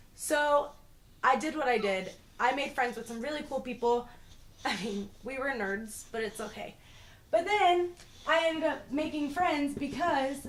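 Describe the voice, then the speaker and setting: An animated woman with an American accent, high-pitched, at a fairly slow pace, with ordinary pitch variation and audible room echo. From Boston, Massachusetts, later Florida. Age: 20s. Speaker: YouTuber. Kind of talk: casual vlog storytelling.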